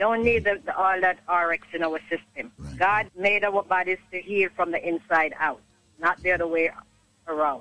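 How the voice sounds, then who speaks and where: A woman has a plain, everyday voice at a medium pitch with fairly even intonation. She speaks at a moderate pace, with a dry, close sound with no echo. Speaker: caller. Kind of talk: testimony. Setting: phone call.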